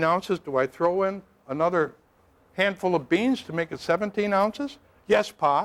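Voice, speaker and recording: Speaking with an American accent, a man uses a high pitch at a moderate pace. The recording is very clean, with a silent background. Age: 80s+. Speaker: motivational speaker. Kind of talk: motivational talk to schoolchildren. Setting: school assembly with audience.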